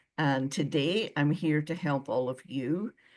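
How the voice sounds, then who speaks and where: Against a quiet background, a woman talks with a Scottish accent. Her pitch is very deep and low. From Scotland. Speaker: former visa officer. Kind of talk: webinar presentation.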